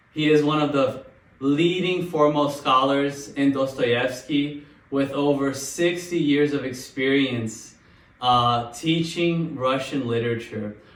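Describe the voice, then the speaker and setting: A man talks at a fairly slow pace with fairly even intonation and a fairly high pitch. His is a plain, everyday voice. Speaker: podcast host. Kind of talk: introduction to camera.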